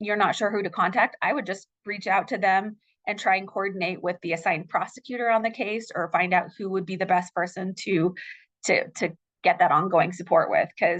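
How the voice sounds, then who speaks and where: A woman with an American accent, medium pitch, a fairly quick pace and a quiet background. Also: fairly even intonation. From Utah. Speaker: victim services case manager. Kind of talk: presentation. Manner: halting, many fillers. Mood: warm, informative. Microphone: video call.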